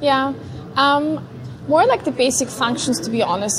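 Noticeable background noise runs behind a woman speaking at a high pitch. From Vienna, Austria. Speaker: neuroscientist. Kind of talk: interview. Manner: hesitant, many fillers.

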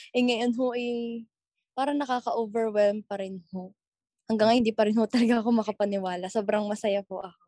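A woman's fairly high voice, dark and mellow in tone, at a fairly quick pace with fairly even intonation and a dry, close sound with no echo. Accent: Batangas. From Batangas, Philippines. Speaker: TikTok content creator. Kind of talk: interview.

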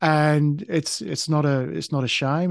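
Against a quiet background, a man with an Australian accent speaks at a fairly slow pace with ordinary pitch variation, the sound dry and close with no echo. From Tasmania, Australia. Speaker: podcast host, spiritual guest. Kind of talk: interview, personal story. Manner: halting, many fillers.

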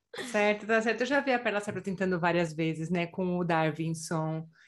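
With a normal speaking voice, a woman talks at a moderate pace over a quiet background, her pitch fairly low and varying in an ordinary way. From Brazil. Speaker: podcast host. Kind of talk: interview.

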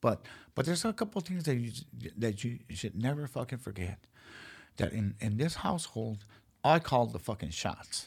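Over a silent background in a very clean recording, a man with a medium pitch and a somewhat breathy voice talks at a moderate pace, with very wide pitch swings and long, frequent pauses. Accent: American. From South Central Los Angeles. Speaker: MMA and boxing figure. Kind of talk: casual chat.

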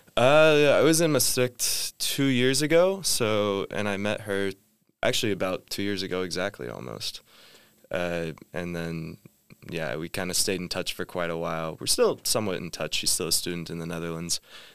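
A man with a Midwestern American accent, very deep, low pitch, very wide pitch swings, and a moderate pace in a very clean recording with a silent background. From US Midwest (Indiana). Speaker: master's student. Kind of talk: casual chat.

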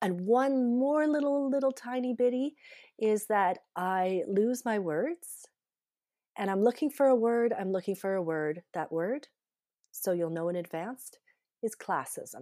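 A woman with a Canadian accent talks at a fairly slow pace in a fairly high voice with a dark, mellow tone. Her intonation is lively, and the recording is very clean with a silent background. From Canada. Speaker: podcast host. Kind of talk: casual interview chat. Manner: halting, searching for words.

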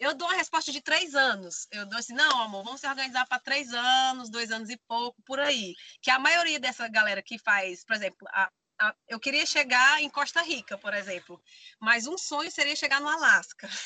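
A woman with a high pitch projects a raised voice in a bright, sharp tone, with lively intonation at a moderate pace and a dry, close sound with no echo. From Brazil, Maranhão (Bacabal). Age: 30s. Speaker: van-life traveler and theater artist. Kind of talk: casual interview chat.

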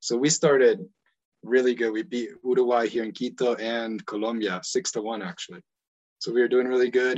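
A man speaks with an American accent. His is an unremarkable speaking voice with ordinary pitch variation. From United States (born in Ecuador). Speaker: football coach and podcaster. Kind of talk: casual chat.

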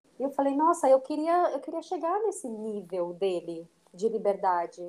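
A woman's high-pitched voice. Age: 30s. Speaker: dancer and dance teacher. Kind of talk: interview conversation.

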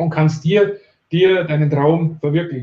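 A man with a fairly high pitch keeps his delivery at a moderate pace. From Bavaria, near Ingolstadt. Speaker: online marketing entrepreneur. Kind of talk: interview. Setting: live video stream.

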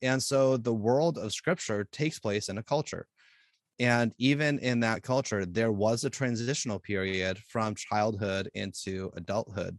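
A man with an ordinary speaking voice, medium pitch, ordinary pitch variation and a moderate pace, in a dry, close sound with no echo and a quiet background. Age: 40s. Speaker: youth pastor. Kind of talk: casual chat.

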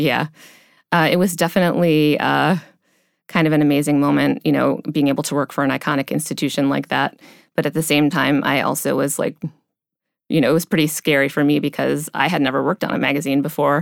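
A woman with vocal fry speaks at a very fast pace in a very deep, low pitch, her intonation monotone and flat. Her loudness stays very even, and the recording is very clean with a silent background. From US Midwest, near Cleveland, Ohio. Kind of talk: interview. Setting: studio.

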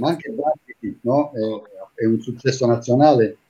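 A man's dark, mellow, somewhat breathy voice moves at a fairly quick pace. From Taranto, Apulia, southern Italy. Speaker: TV and radio presenter, impressionist. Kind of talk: casual chat.

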